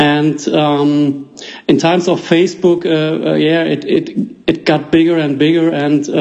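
A man with a German accent and a fairly high pitch, at a very slow pace, amid noticeable background noise. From Germany. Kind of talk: casual interview. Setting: phone call.

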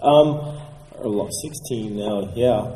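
Noticeable background noise accompanies speech whose intonation remains fairly even. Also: man. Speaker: collector. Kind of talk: casual interview.

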